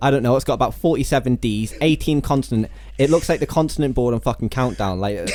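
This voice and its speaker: At a very fast pace, a man speaks with a medium pitch, ordinary pitch variation and very even loudness. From England. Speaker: podcast host. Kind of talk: casual chat.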